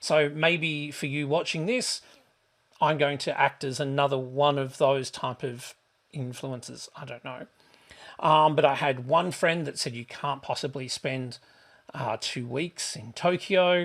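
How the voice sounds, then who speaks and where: A man talks at a fairly slow pace in a fairly high pitch. His intonation is fairly even, but his loudness swings widely. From Australia. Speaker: travel vlogger. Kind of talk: casual vlog monologue. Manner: hesitant, many fillers.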